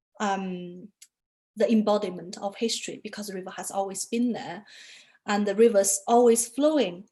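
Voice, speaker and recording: A woman speaks with a Chinese accent. Her pace is moderate. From China. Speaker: artist photographer. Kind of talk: interview talk about own work. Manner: hesitant, many fillers.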